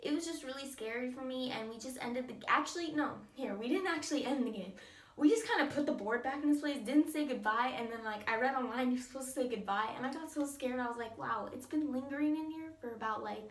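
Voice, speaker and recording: Shaky and very fast, a woman with a high pitch and ordinary pitch variation talks amid audible room echo and noticeable background noise. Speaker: vlogger. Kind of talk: story time vlog. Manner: casual, filler-heavy; shaky voice.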